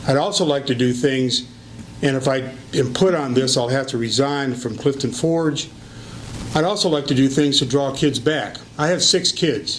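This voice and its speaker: Against noticeable background noise, a man with an American accent speaks at a fairly high pitch and moderate pace, with ordinary pitch variation and very even loudness. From Michigan, US Midwest. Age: 70s. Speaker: retired teacher and local politician. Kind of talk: interview for school board position.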